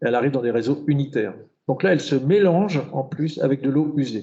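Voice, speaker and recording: This man's voice sits at a fairly high pitch. His pitch variation is ordinary. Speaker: urban planner and hydrologist giving a talk. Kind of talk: lecture. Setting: conference hall with audience. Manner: fast; halting, many repetitions and fillers.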